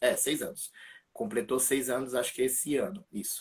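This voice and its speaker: This man's pitch is fairly high and varies in an ordinary way while he talks at a moderate pace. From São Paulo, Brazil (east zone). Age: 20s. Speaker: church ministry member giving faith testimony. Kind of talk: testimony. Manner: casual, hesitant with fillers.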